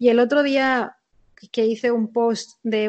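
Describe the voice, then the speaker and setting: Here a woman uses an ordinary speaking voice, fairly high in pitch. She goes at a fairly slow pace with fairly even intonation. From Spain. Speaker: sports performance director. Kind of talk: interview.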